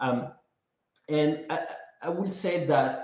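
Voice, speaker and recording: A man's voice with audible room echo. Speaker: real estate investor presenter. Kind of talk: webinar presentation.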